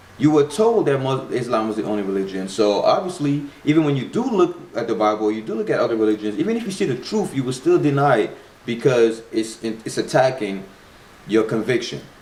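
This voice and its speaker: A man talks at a fairly quick pace, his tone animated and his pitch swinging very widely. Noticeable background noise runs behind him. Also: medium pitch for a man. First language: not English. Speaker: spirituality vlogger. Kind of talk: casual video monologue. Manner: halting with repetitions.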